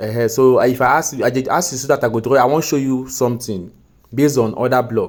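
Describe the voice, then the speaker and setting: With a Nigerian accent, a man speaks at a medium pitch and a fairly quick pace, with fairly even intonation. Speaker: forex trading mentor. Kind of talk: recorded tutoring session. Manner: patient, explanatory.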